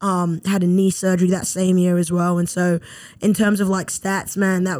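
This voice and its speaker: A woman's fairly low, dark and mellow voice in a British accent, flat and monotone, on a very clean recording with a silent background. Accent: British, noticeable. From London, England. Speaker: former pro footballer, graduate assistant. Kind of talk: casual interview.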